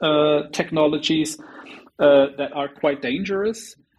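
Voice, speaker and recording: This man has a normal speaking voice with a fairly high pitch. He talks at a fairly slow pace with ordinary pitch variation. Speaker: executive advisor, petition author. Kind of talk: interview. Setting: video call.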